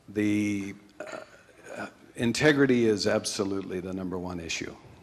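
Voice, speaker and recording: Against noticeable background noise, a man with a fairly low pitch talks at a moderate pace with ordinary pitch variation. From Canada. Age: 60s. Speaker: financial manager and entrepreneur. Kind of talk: talk with Q&A to an audience. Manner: hesitant, many fillers.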